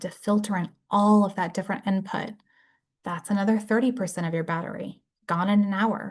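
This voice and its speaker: Somewhat breathy, a woman speaks at a medium pitch and moderate pace in a monotone, flat intonation against a quiet background. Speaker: brain injury case manager and presenter. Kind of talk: lecture.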